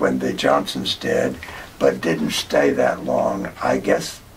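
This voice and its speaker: Someone with an American accent speaks at a very slow pace against noticeable background noise. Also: man. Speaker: oral history interviewee. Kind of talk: oral history interview. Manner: halting.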